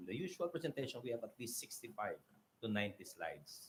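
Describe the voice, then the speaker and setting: A man talks at a fairly quick pace. His voice is somewhat breathy. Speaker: mayor. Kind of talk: conference presentation. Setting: auditorium stage. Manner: fast.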